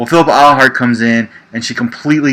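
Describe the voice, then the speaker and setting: This man speaks with an American accent in a bright, sharp tone. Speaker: livestream show host, card game player. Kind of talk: casual livestream chat about a card game. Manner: conversational, frequent fillers.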